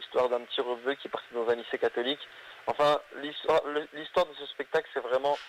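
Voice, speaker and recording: Talking very fast, a man keeps his intonation fairly level. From northern France (Hazebrouck, near Lille). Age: 20s. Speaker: comedian. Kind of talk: interview.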